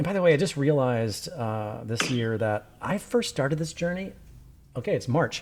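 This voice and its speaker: Against a silent background on a very clean recording, a man speaks in a fairly high pitch with lively intonation and an animated tone. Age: 50s. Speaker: podcast host and documentary filmmaker. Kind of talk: casual interview chat. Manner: fast; high-strung, animated.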